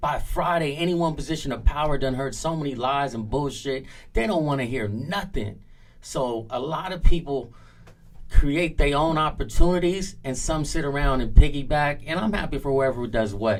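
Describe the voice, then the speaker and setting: With an American accent and fairly high pitch, a man speaks at a moderate pace with big swings in loudness. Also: ordinary pitch variation. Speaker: music industry veteran. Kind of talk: interview.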